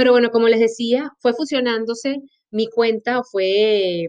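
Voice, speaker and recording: In a Maracaibo accent, a woman talks at a fairly slow pace with ordinary pitch variation. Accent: Venezuelan Spanish (Maracaibo). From Venezuela, Maracaibo. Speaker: podcast host and health coach. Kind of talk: personal monologue. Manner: animated.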